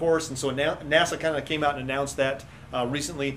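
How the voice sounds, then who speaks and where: There is noticeable background noise as a man talks at a very fast pace. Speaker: science educator co-host. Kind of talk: casual chat. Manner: halting.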